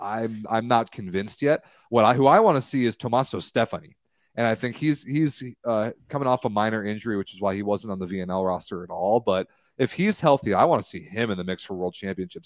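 In a normal speaking voice, the speaker talks at a fairly quick pace with ordinary pitch variation and big swings in loudness, in a dry, close sound with no echo over a quiet background. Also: man. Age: 20s. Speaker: volleyball podcast co-host. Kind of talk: casual chat. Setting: live stream.

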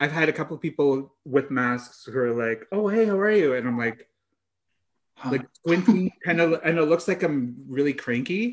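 Lively intonation and a moderate pace mark an ordinary speaking voice. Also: man, fairly high pitch for a man. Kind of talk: casual chat. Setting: remote call.

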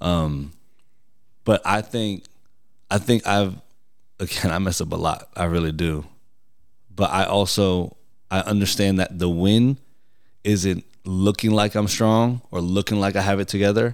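Speaking with an American accent, a man talks at a fairly slow pace with a fairly low pitch. His intonation is fairly even, and he takes long, frequent pauses. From New York. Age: 30s. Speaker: guest. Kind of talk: casual chat.

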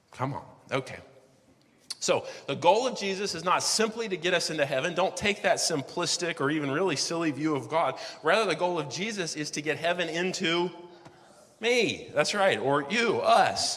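At a moderate pace, a man with a high pitch and ordinary pitch variation speaks over noticeable background noise. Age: 40s. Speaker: pastor. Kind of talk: sermon. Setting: church. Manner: casual and conversational, with fillers.

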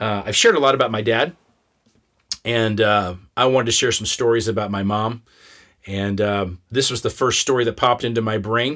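Using a bright, sharp tone, a man with a Midwestern American accent speaks at a moderate pace, with medium pitch and fairly even intonation. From Kansas. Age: 50s. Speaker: podcast host and storyteller. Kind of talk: personal storytelling. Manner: casual, conversational.

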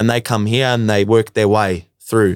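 A man talks at a fairly low pitch with an Australian accent. The recording is very clean, with a silent background and a dry, close sound free of echo. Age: 20s. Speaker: electrician and former footballer. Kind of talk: casual interview.

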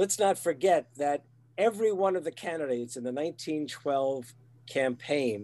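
A man's fairly high voice moves with lively intonation. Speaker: retired teacher. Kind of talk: casual chat. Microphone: new USB microphone.

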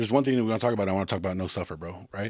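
On a very clean recording with a silent background, a man with an American accent speaks with lively intonation. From Texas. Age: 30s. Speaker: podcast host. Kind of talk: casual chat.

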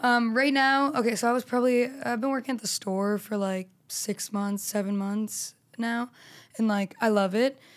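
Over a very clean recording with a silent background, a woman talks at a moderate pace in a fairly high pitch. She has an ordinary speaking voice and fairly even intonation. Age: 20s. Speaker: stand-up comedian. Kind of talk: casual chat.

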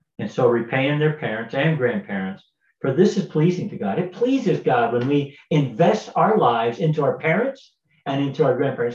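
A somewhat breathy, fairly high-pitched man at a fairly quick pace, with very wide pitch swings. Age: 60s. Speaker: pastor. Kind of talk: devotional talk. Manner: halting, many fillers.

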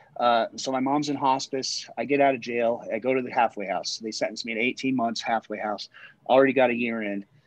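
A man with an American accent and an unremarkable speaking voice talks at a fairly quick pace, with medium pitch, fairly even intonation, and a dry, close sound with no echo. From Colorado, Littleton. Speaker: person in addiction recovery. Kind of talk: casual chat.

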